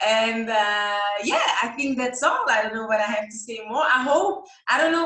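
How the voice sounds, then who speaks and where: A woman with a non-native accent, a bright, sharp tone, fairly high pitch, ordinary pitch variation and a fairly slow pace, in audible room echo. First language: not English. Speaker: image consultant and stylist. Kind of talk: live Q&A interview. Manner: halting, many fillers.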